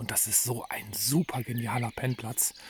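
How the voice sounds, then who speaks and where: Noticeable background noise runs behind a man talking. His voice is medium-pitched and fairly even in intonation. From Germany, Sauerland. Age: 50s. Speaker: long-distance hiker and vlogger. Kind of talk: video diary. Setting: outdoors at a hut village on a trail.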